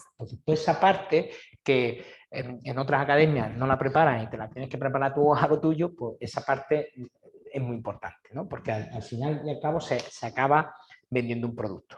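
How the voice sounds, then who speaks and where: A somewhat breathy man speaks at a fairly quick pace with ordinary pitch variation. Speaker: exam prep teacher. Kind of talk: information session. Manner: fast.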